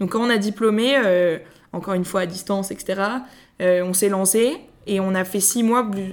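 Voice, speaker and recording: A woman speaks at a fairly slow pace with a medium pitch, leaving long, frequent pauses. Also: fairly even intonation. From Paris, France. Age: 20s. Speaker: podcast co-founder. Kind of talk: interview.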